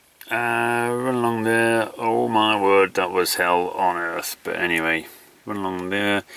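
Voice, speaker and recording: The speaker talks at a fairly slow pace with a Yorkshire accent. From Yorkshire, northern England. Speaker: endurance runner, video diarist. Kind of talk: video diary. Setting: outdoors. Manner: casual, hesitant with fillers.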